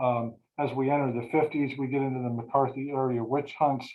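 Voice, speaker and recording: A man speaks at a fairly quick pace and a fairly high pitch, his intonation monotone and flat. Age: 60s. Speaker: bereavement counselor and presenter. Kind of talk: webinar presentation. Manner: halting, many fillers and repetitions.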